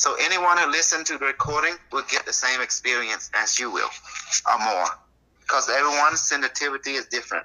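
A man's fairly high voice, a normal speaking voice with ordinary pitch variation and a fairly quick pace. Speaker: metaphysics teacher. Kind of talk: interview.

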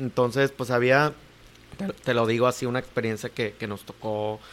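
Ordinary pitch variation marks a man speaking at a medium pitch. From Mexico, Cuernavaca, Morelos. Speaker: sports program coordinator. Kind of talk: interview. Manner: halting, many fillers.

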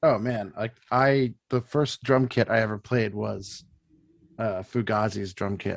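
Speaking in a plain, everyday voice, a man holds a medium pitch and fairly even intonation. He moves at a fairly slow pace, in a dry, close sound with no echo. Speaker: band member. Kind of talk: casual chat. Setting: video call.

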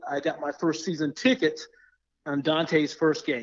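A plain, everyday voice. It has an American accent and a moderate pace. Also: man. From Florida. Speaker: tech professional and sports fan. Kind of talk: podcast interview.

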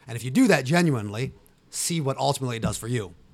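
On a very clean recording with a silent background, a man with an American accent speaks at a very fast pace. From Ohio, US. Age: 40s. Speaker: police officer and tactical gear business owner. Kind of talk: casual chat.

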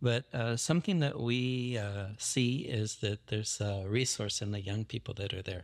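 A man's plain, everyday voice at a medium pitch and moderate pace, with ordinary pitch variation, hardly any pauses, and a very clean recording over a silent background. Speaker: missionary and Bible college leader. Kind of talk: casual interview.

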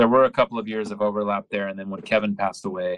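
With an American accent, a man speaks at a fairly quick pace and a fairly low pitch against a quiet background. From California, US (Modesto). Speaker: indie rock guitarist. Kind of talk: casual chat.

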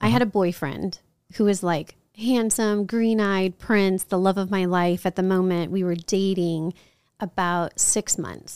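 A woman of medium pitch with a plain, everyday voice speaks at a fairly slow pace with fairly even intonation. The sound is dry and close with no echo, in a very clean recording with a silent background. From New Orleans, later Chicago and San Antonio. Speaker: author and magazine business owner. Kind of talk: podcast interview.

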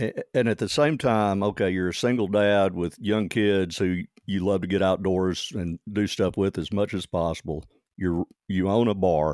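A man with a Southern US accent, fairly low pitch and ordinary pitch variation, in a dry, close sound with no echo on a very clean recording against a silent background. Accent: Southern drawl. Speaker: podcast host. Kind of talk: casual interview chat.

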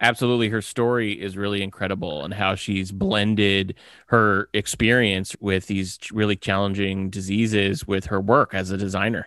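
On a very clean recording with a silent background, a man with an ordinary speaking voice and a fairly low pitch talks at a moderate pace, with fairly even intonation and hardly any pauses. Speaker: podcast producer. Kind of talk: casual chat.

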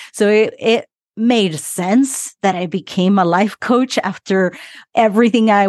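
In a medium pitch and an animated tone, a woman with a slight Argentine accent talks at a fairly slow pace, the sound dry and close with no echo against a quiet background. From Argentina. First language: Spanish. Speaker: relationship coach and breathwork facilitator. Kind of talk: casual interview chat. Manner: animated, laughs often.

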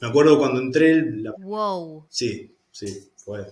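A man speaks at a fairly high pitch with a somewhat breathy voice. His intonation is lively, and the room echo is audible. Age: 40s. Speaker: lawyer turned architecture student. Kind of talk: interview testimony.

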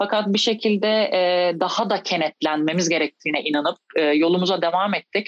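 A woman talks with ordinary pitch variation and a fairly quick pace. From Turkey, İzmir. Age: 30s. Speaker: professional basketball player. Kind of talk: interview. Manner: hesitant, many fillers.

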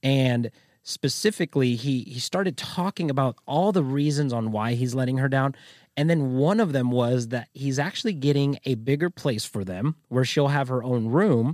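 A normal speaking voice at a moderate pace, with a dry, close sound free of echo and ordinary pitch variation. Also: man, medium pitch for a man. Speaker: podcast host. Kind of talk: casual chat.

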